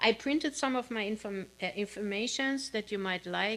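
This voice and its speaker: With a non-native accent, a woman speaks at a fairly slow pace and medium pitch, with ordinary pitch variation. The recording is very clean, with a silent background. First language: not English. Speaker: minister. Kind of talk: sermon. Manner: halting, with fillers.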